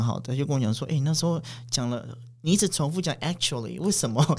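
This man's voice has ordinary pitch variation. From Taiwan, Paiwan village in Pingtung. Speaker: interpreter. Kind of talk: casual chat. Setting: studio. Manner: halting, many fillers and repeats.

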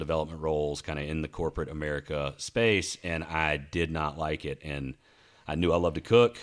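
Talking at a fairly quick pace with a Southern US accent, a man uses a very deep, low pitch and fairly even intonation in a very clean recording with a silent background. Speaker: podcast host. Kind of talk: casual chat. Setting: studio.

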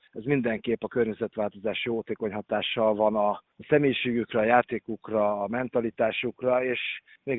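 With fairly even intonation, a man delivers his words at a medium pitch. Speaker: water polo head coach. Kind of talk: interview.

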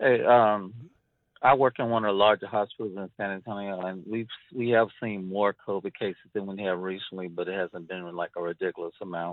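In a plain, everyday voice, a man speaks at a fairly low pitch with fairly even intonation and big swings in loudness. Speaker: military hospital worker. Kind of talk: call-in conversation. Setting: phone call.

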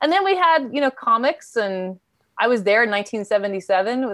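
In an unremarkable speaking voice with an American accent, a woman talks at a fairly quick pace with ordinary pitch variation over a quiet background. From New York City, Queens. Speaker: therapist and grief educator. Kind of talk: interview.

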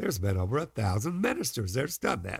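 Fairly quick and showing vocal fry, a man's voice swings very widely in pitch in a very clean recording with a silent background. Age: 70s. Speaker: preacher. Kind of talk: sermon.

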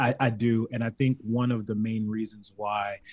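In a Baltimore accent, a man speaks at a fairly low pitch with a somewhat breathy quality. The sound is dry and close, with no echo. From Baltimore, US. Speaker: reality competition contestant. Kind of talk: casual chat. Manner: animated, jokey.

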